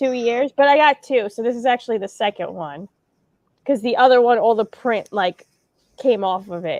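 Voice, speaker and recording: A woman with a New York accent, in a dry, close sound with no echo and a quiet background. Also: fairly high pitch for a woman, ordinary pitch variation, moderate pace. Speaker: band member hosting livestream. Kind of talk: casual chat.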